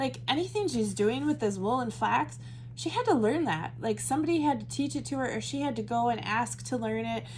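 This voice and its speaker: Audible room echo surrounds a woman speaking at a moderate pace with an American accent. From US Midwest. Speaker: Bible study teacher. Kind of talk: Bible study teaching. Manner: casual, conversational with fillers.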